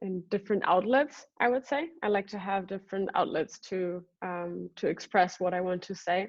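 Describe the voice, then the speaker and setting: A woman at a medium pitch with a non-native accent, a moderate pace, ordinary pitch variation, and hardly any pauses. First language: not English. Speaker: singer and artist. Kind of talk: interview. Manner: halting, many fillers.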